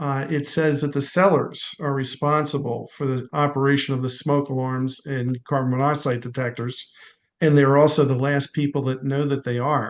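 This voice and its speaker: A man speaks with a Philadelphia accent. His intonation is fairly even. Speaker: home inspector. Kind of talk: online meeting discussion.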